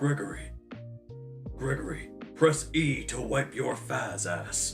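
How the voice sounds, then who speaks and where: Clear music plays in the background behind a put-on character voice at a very deep, low pitch and a fairly slow pace. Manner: playful, friendly.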